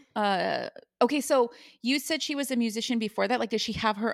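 Her tone is animated as this woman talks at a fairly quick pace. She has a fairly high pitch with ordinary pitch variation. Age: 40s. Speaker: podcast co-host. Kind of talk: casual chat. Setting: video call.

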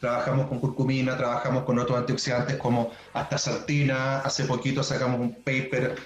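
In a room with audible echo and noticeable background noise, a man speaks at a moderate pace and medium pitch. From southern Chile (Puerto Montt). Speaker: pharmaceutical science researcher. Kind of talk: casual interview.

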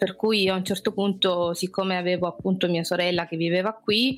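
Speaking at a moderate pace in an Apulian accent, a woman keeps a medium pitch and fairly even intonation. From Apulia, Brindisi. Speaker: expat guest. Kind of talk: interview.

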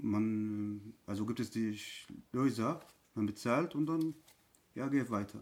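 A man speaks very slowly at a medium pitch in an Arabic accent. His pitch varies in an ordinary way, with long, frequent pauses. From Syria. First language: Arabic (speaking German). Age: 30s. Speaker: refugee. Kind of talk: testimony. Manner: halting.

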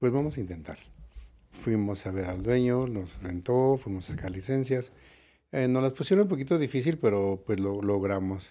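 A man with a dark, mellow tone speaks at a moderate pace and medium pitch. His intonation is lively, and the recording is very clean with a silent background. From Mexico City. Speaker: nightclub owner. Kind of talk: interview. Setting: studio.

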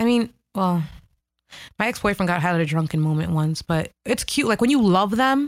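A normal speaking voice with an American accent talks at a moderate pace with lively intonation and very even loudness. The recording is very clean, with a silent background. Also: woman, medium pitch for a woman. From US Northeast, Hoboken New Jersey. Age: 20s. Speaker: guest co-host, photographer. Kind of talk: casual chat.

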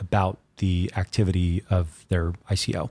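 Somewhat breathy and fairly low-pitched, a man speaks in a dry, close sound with no echo on a very clean recording with a silent background. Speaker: crypto media executive. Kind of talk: casual interview chat. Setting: studio office. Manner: fast talker.

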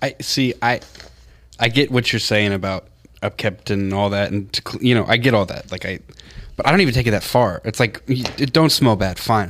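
Here is a man with an unremarkable speaking voice at a medium pitch. His pace is fairly quick and his pitch variation ordinary. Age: 20s. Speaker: show producer. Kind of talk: casual chat.

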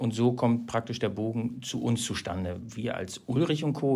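With a plain, everyday voice, a man keeps to a medium pitch and ordinary pitch variation. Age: 40s. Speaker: company manager in wood products e-commerce. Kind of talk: interview conversation. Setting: on-site recording at the company.

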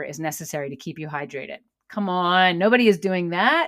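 A woman speaks in a plain, everyday voice at medium pitch, with ordinary pitch variation and a moderate pace, on a very clean recording with a silent background. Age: 40s. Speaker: podcast host and yoga instructor. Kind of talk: personal monologue. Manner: casual, with filler words.

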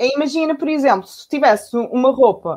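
A woman speaks at a fairly quick pace with lively intonation. The background is quiet. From Portugal, south bank of the Tejo (Lisbon area). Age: 30s. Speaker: circular economy entrepreneur. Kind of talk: online panel talk. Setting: video call from home. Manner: halting, many fillers and repetitions.

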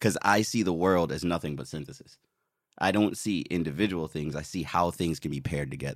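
With an American accent, a man speaks in a very deep, low voice with vocal fry. He keeps a fairly quick pace. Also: ordinary pitch variation, very clean recording, silent background. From US Virgin Islands (Saint Croix). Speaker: illustrator and Navy veteran. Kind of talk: casual interview chat.

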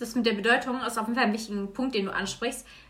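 Noticeable background noise and audible room echo surround a woman whose fairly high voice shows ordinary pitch variation. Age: 20s. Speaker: guest. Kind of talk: casual chat. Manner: halting.

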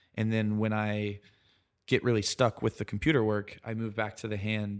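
A man with an American accent, fairly low pitch, and monotone, flat intonation at a moderate pace, in a very clean recording with a silent background. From US South, South Carolina. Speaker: architect. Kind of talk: casual interview. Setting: in person, Brooklyn.

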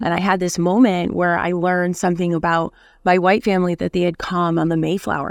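This woman speaks with an American accent at a fairly quick pace, her pitch fairly low. Her intonation is monotone and flat, captured on a very clean recording with a silent background. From Buffalo, New York (West Side). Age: 30s. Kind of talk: casual interview chat.

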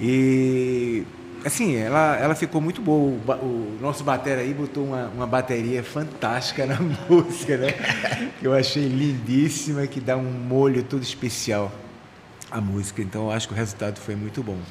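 Audible room echo and noticeable background noise surround this man. He talks at a moderate pace and medium pitch with ordinary pitch variation. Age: 60s. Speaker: musician. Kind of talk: radio interview. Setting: studio.

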